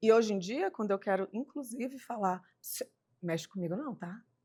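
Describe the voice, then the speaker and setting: A woman's ordinary speaking voice at a moderate pace, lively in intonation with big swings in loudness, on a very clean recording with a silent background. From Ceilândia, Brasília, Brazil. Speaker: podcast host.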